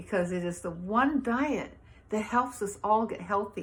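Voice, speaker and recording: The speech comes at a fairly slow pace, somewhat breathy, with ordinary pitch variation. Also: woman. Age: 70s. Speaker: vegan health advocate, fitness instructor. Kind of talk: personal testimony. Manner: enthusiastic.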